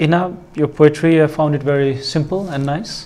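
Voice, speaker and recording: The man's pitch sits fairly high. He keeps a moderate pace and fairly even intonation. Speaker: competition judge. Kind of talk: giving feedback, formal critique. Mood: encouraging, calm. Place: studio. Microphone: lapel.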